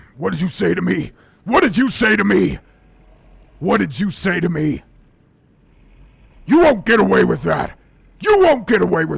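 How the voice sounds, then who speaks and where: At a moderate pace, a man performs a put-on character voice broken by long, frequent pauses. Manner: menacing.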